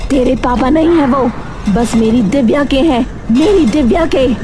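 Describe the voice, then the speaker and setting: Amid loud background noise, a female-sounding cartoonish character voice speaks at a high pitch and a moderate pace. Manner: menacing.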